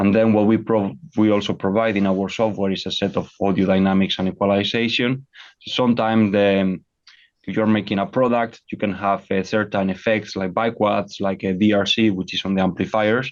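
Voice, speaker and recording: Fairly low in pitch, a man talks at a fairly quick pace. His intonation is monotone and flat. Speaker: audio technology company co-founder and CTO. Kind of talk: technical presentation over slides. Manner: fast; halting with many repetitions.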